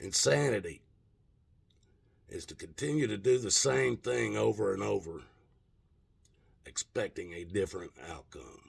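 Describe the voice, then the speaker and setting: A man at a fairly slow pace, with long, frequent pauses and big swings in loudness. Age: 60s. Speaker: political commentator. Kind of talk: rant. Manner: animated.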